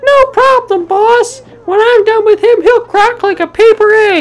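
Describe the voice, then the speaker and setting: The voice sits at an extremely high pitch and moves at a moderate pace. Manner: eager, goofy, cheerful.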